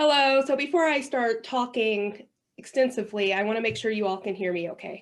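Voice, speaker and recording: In a plain, everyday voice, a woman speaks at a fairly high pitch. Her pace is moderate, with ordinary pitch variation. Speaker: workshop facilitator. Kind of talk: training workshop presentation.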